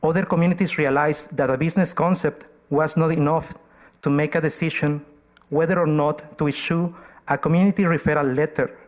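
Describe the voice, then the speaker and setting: At a fairly quick pace, a man speaks with a fairly high pitch. His intonation is monotone and flat, and his loudness stays very even. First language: not English. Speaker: community organization presenter to council. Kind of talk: formal presentation at council meeting.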